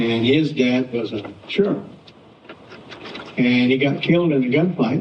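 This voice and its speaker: A man speaks with a rural Southwestern US accent. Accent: American Southwest rural. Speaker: cowboy. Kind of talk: storytelling presentation. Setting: live audience talk. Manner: unpolished, plain-spoken.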